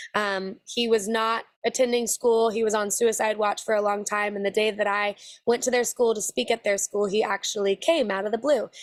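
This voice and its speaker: A woman at a fairly high pitch and moderate pace, with fairly even intonation and a dry, close sound with no echo. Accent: American. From Texas. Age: 20s. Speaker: country singer. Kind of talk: interview.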